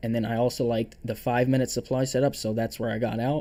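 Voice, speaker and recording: A man's dark, mellow voice at medium pitch, fairly quick and monotone. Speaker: day trader streaming his trades. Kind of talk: live stream trade review. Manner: halting, stuttering; casual, filler-heavy.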